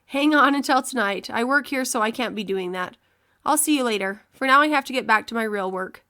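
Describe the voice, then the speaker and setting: A woman puts on a character voice that is raspy and high in pitch. She moves at a fairly quick pace with ordinary pitch variation. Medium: read story.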